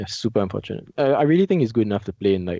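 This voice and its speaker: Speaking very fast with a Singaporean accent, a man has a dark, mellow tone, ordinary pitch variation, and a dry, close sound with no echo. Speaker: esports coach. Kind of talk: casual chat.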